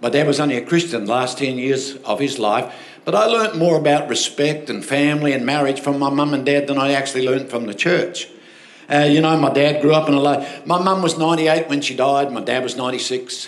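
Amid audible room echo, a man with an Australian accent talks at a fairly quick pace and a fairly high pitch, with ordinary pitch variation. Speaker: pastor. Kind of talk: sermon. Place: church. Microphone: handheld.

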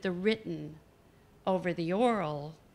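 A fairly slow woman's voice with ordinary pitch variation. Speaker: visiting poet lecturer. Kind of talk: lecture. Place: hall. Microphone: podium.

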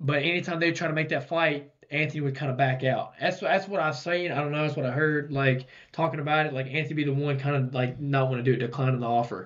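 A man races along at a very fast pace, his intonation fairly even and the background quiet. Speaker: podcast co-host. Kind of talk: casual podcast commentary. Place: studio. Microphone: studio mic.

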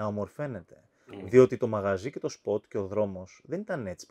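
Moderate-paced male speech against a quiet background. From Cyprus. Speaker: podcast host. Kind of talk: interview. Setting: wine cellar.

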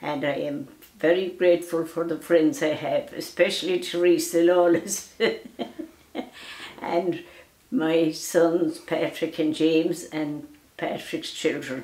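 A woman speaks very slowly with a western Irish accent and a fairly low pitch. Long, frequent pauses and audible room echo mark the clip. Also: ordinary pitch variation. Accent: rural west of Ireland. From Ireland, County Mayo; Ireland. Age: 90s. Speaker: elderly storyteller. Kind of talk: casual chat; interview answer. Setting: at home. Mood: grateful, gentle, reflective. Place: home room.

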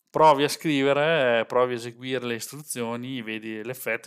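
Fairly even intonation marks this man's speech. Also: quiet background. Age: 40s. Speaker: software developer and tech streamer; tech streamer. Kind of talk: live stream tutorial. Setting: live stream with webcam. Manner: casual, chatty. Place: home room. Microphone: headset.

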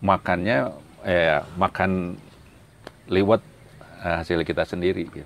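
Very slow and very deep, a man's voice carries fairly even intonation with long, frequent pauses and a dry sound with no echo. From Sumedang, West Java; West Java, Indonesia. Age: 60s. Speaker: retired civil servant, religious council leader; religious council leader. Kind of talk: interview. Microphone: lapel.

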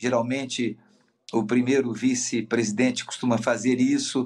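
Talking at a fairly slow pace, a man keeps to a medium pitch. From Minas Gerais, Brazil. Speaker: politician. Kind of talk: interview. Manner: fluent, articulate. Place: office. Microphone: video call.

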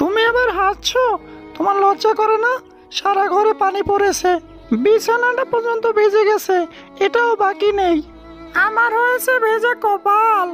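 Clear music plays behind a woman with an extremely high voice. She talks at a fairly slow pace. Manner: complaining, tearful.

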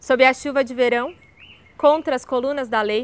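A woman's high-pitched voice with a Brazilian accent, a warm, enthusiastic tone and a dry sound with no echo. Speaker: video creator reading poems. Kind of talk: poem reading, then casual chat about the poet. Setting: video channel, solo recording. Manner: casual, warm, enthusiastic. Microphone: lapel.

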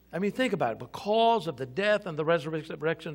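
Against a quiet background, a man speaks. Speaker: senior pastor. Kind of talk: sermon. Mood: warm, joking, upbeat. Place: church.

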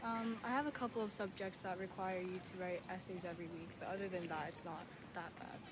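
With noticeable background noise, a woman talks at a fairly quick pace and ordinary pitch variation. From Tokyo, Japan. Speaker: university student. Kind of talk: interview; interview answer. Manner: hesitant, many fillers. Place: street. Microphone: phone near.

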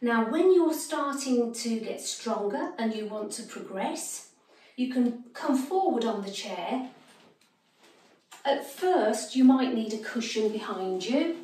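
With audible room echo, a woman speaks very slowly at high pitch, her loudness swinging widely. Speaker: exercise instructor. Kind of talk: tutorial.

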